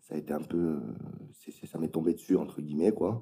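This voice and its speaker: A man speaks fairly quickly in a very deep, low voice with a dark, mellow tone and vocal fry. His pitch varies in an ordinary way. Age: 30s. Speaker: tattoo artist. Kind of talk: casual interview. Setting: at home.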